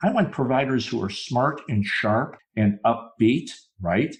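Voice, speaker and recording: Over a quiet background, a man of medium pitch talks at a fairly slow pace in a somewhat breathy voice. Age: 60s. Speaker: dentist turned speaker and consultant. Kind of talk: podcast interview.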